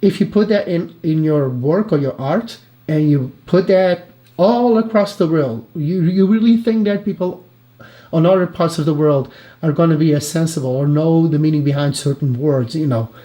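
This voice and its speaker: Fairly high in pitch, a man with a non-native accent speaks at a moderate pace with lively intonation. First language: not English. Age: 30s. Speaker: reaction youtuber. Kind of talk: live reaction commentary. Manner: halting.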